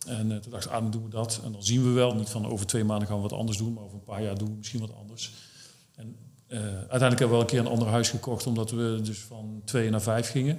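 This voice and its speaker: Amid audible room echo and noticeable background noise, a man talks very fast at a medium pitch. His intonation is monotone and flat, while his loudness swings widely. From Netherlands, Brabant. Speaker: startup founder. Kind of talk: interview.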